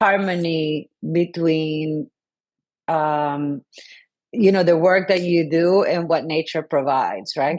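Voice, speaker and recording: At a fairly slow pace, a woman speaks in a very deep, low pitch with ordinary pitch variation. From Colombia. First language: Spanish. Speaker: sustainability consultant and city council member. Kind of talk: podcast interview. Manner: halting, many fillers.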